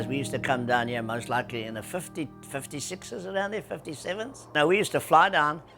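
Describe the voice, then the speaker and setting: With music playing behind him, a man in a South African accent talks at a very fast pace with hardly any pauses, his fairly high pitch swinging very widely. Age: 80s+. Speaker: surf industry veteran. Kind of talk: interview answer.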